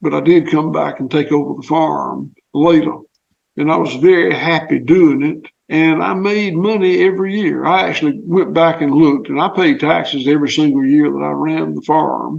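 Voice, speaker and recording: With a Southern US accent, a man speaks at a moderate pace. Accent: Southern US (Georgia). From US South, southwest Georgia. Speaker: farmer. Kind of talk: interview.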